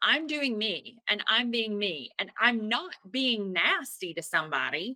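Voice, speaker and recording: Bright and sharp in tone, a woman speaks at a fairly slow pace with a Southern US accent. Her fairly high pitch swings very widely. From US South. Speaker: attorney and spiritual coach. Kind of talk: interview.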